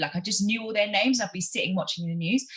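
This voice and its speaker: An animated tone comes through in a London accent. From South London (Brixton). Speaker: journalist and podcast host. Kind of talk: casual interview conversation. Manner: animated, fast, lots of fillers.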